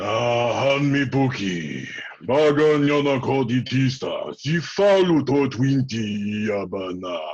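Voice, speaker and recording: Using a put-on character voice, a man speaks with a guttural sound at a medium pitch and fairly slow pace, with light background noise. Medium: stage play. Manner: speaks in guttural alien gibberish.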